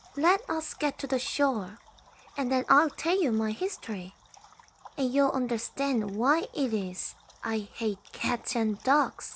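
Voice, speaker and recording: Using a put-on character voice, a woman speaks shaky and high-pitched at a fairly slow pace. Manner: passionate, upset.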